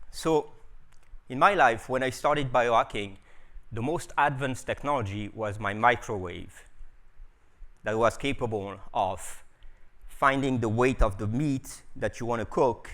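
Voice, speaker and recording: The speech moves at a fairly slow pace with long, frequent pauses and ordinary pitch variation, on a very clean recording with a silent background. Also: man. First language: French. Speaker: biohacker and scientist. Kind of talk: conference talk. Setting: stage with audience. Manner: animated.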